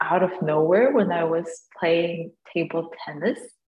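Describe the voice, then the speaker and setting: A woman's fairly low-pitched voice. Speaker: podcast co-host, college student. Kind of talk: casual chat. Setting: video call.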